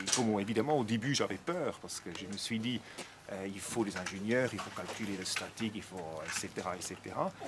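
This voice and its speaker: A man with a Swiss accent at a moderate pace over loud background noise. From Switzerland. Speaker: project manager. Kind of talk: interview answer. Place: open country.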